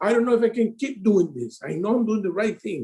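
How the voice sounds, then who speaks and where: With a dark, mellow tone and a high pitch, a man speaks at a moderate pace. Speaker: insurance sales advisor. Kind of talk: casual interview chat. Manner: halting.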